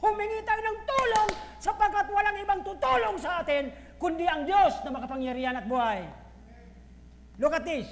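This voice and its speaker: Loud speech at a moderate pace sits over noticeable background noise. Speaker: pastor. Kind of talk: sermon. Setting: church. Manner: forceful.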